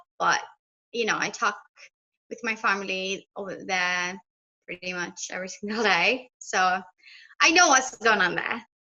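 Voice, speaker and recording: A woman with a bright, sharp tone speaks at medium pitch with fairly even intonation, big swings in loudness, and long, frequent pauses. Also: moderate pace. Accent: slight British. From Ethiopia, Addis Ababa. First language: Amharic. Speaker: language teacher on YouTube. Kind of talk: casual interview.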